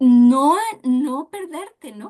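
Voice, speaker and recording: Dark and mellow in tone, a woman's voice sits at a high pitch. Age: 60s. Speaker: dance therapist. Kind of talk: interview.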